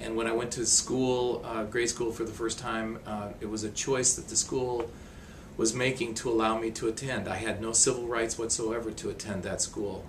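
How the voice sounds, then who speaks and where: A man's medium-pitched voice in an American accent, monotone and flat, over noticeable background noise. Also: moderate pace. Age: 60s. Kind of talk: interview testimony.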